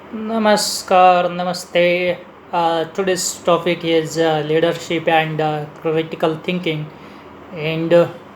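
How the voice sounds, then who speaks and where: In an Indian accent, a man speaks at a high pitch and a very slow pace. His intonation is monotone and flat, with noticeable background noise. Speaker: leadership speaker. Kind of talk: lecture. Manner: halting, many fillers.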